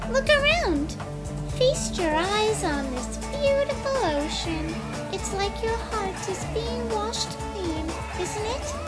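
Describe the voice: Over loud music in the background, a woman puts on a character voice at an extremely high pitch, speaking at a slow pace with lively intonation.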